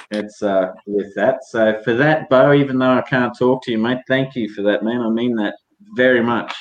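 A man speaks with a strong Queensland accent and fairly even intonation. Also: medium pitch for a man. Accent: broad Australian, rural Queensland drawl. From North Queensland, Australia. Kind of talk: casual chat.

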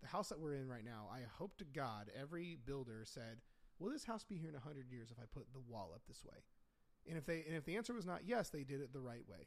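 Talking at a very fast pace, a man with an American accent uses a fairly high pitch and very wide pitch swings. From Indiana, US. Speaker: podcast host and nutrition coach. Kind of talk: casual chat. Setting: home studio.

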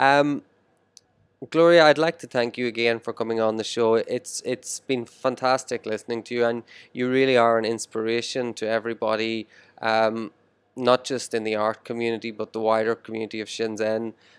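An Irish accent at a moderate pace with fairly even intonation, on a very clean recording with a silent background and a dry, close sound with no echo. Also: man, medium pitch for a man. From Ireland. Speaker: podcast host. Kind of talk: interview. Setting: restaurant.

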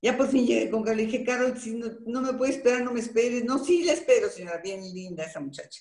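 A woman talks at a very fast pace with hardly any pauses and a high pitch. Her intonation is lively and her loudness swings widely. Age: 70s. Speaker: voice actress. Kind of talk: interview. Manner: animated.

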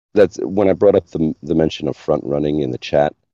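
Dark and mellow in tone, a man's very deep, low voice shows vocal fry, moving at a moderate pace with ordinary pitch variation in a dry, close sound with no echo. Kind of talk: casual chat.

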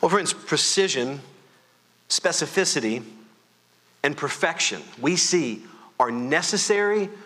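Amid noticeable background noise, a man with a fairly high pitch speaks at a moderate pace with long, frequent pauses. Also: big swings in loudness. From Louisiana. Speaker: pastor. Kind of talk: sermon. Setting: church. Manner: loud.

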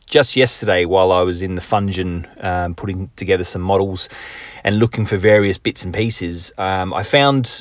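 This man has a normal speaking voice, pitched fairly low. His pitch varies in an ordinary way, and he talks at a moderate pace. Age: 40s. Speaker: hobby podcast host. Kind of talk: casual solo podcast monologue.

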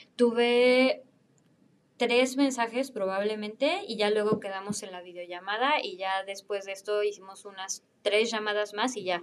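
Loudness swings widely as a woman with a Mexican accent talks at a fairly slow pace. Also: fairly high pitch for a woman, ordinary pitch variation. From Mexico. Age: 20s. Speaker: former au pair. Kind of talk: casual interview.

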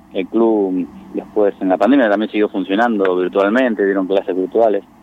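A man's fairly low-pitched voice amid noticeable background noise. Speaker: sports club president. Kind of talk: radio interview.

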